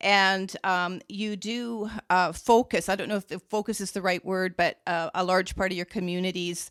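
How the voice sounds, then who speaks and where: An ordinary speaking voice with fairly even intonation moves at a moderate pace, dry and close with no echo, on a very clean recording with a silent background. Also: woman. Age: 60s. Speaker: podcast host. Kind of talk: podcast interview.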